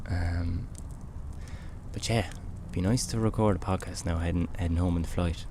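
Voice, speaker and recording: A man with an Irish accent talks in a relaxed tone with ordinary pitch variation. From Ireland. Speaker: podcast host. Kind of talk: casual chat. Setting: outdoors by a campfire.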